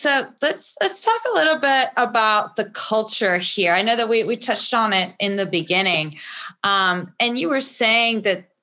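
Her tone is bright and sharp, with lively intonation. The woman speaks at a fairly high pitch and a moderate pace. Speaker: podcast guest host. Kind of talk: interview. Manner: warm, encouraging.

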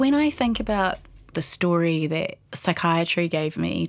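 A woman with a New Zealand accent speaks at a fairly low pitch on a very clean recording with a silent background. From New Zealand, Palmerston North. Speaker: poet and mental health interviewee. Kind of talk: personal testimony.

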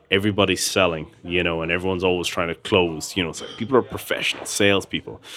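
In an Irish Midlands accent, a man speaks with a very deep, low pitch and fairly even intonation. He goes at a very fast pace with hardly any pauses. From Ireland, Tullamore, County Offaly. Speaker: gin company founder. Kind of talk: interview. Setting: pub.

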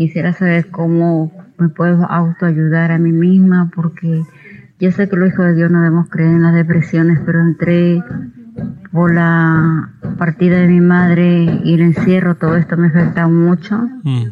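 This woman has a fairly low pitch and monotone, flat intonation at a fairly slow pace. Her loudness stays very even against noticeable background noise. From Peru. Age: 50s. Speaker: listener asking a question. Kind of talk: recorded voice message question.

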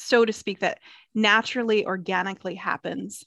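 A woman with an ordinary speaking voice and an American accent speaks at a moderate pace with fairly even intonation, in a dry, close sound with no echo against a quiet background. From US South, South Carolina. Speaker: hospitality interior designer. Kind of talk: casual interview chat.

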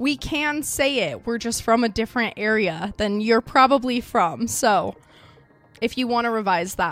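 Here a woman talks at a moderate pace in an Idaho accent. Her pitch sits fairly high. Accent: Idaho accent, drops T sounds. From Idaho, US. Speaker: true crime podcast host. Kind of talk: true crime narration. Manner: casual, chatty.

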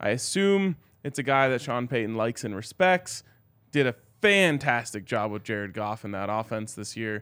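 Recorded very cleanly against a silent background, a man with a plain, everyday voice speaks at a moderate pace in a medium pitch, his intonation lively. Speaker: sports podcast host. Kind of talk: casual sports talk. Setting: live show at a bar.

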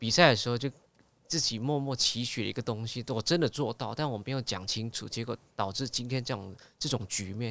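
On a very clean recording with a silent background, a man speaks at medium pitch and a fairly quick pace with ordinary pitch variation. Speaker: singer and TV host. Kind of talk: casual interview chat.

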